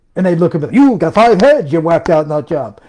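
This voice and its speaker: A man with a fairly high-pitched voice. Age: 60s. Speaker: self-published author and home business promoter. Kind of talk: live stream rant. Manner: animated; emphatic.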